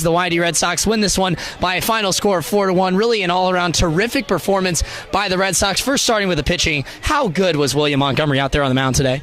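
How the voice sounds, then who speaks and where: Over music in the background, a man with a high pitch talks very fast with lively intonation and very even loudness. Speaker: sports broadcaster, play-by-play announcer. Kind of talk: post-game recap and interviewer questions.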